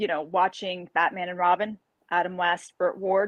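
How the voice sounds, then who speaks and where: A woman with a New York accent speaks at a moderate pace and a medium pitch, with ordinary pitch variation. The sound is dry and close with no echo, against a quiet background. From New York, Carmel. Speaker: martial artist and fantasy author. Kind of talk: podcast interview. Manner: animated.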